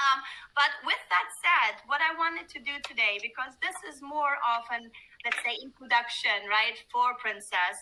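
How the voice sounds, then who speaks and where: Over noticeable background noise, a woman talks at a fairly slow pace in a high pitch. Her intonation is lively, and her loudness swings widely. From Germany and Greece. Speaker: cruise line sales manager. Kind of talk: webinar presentation.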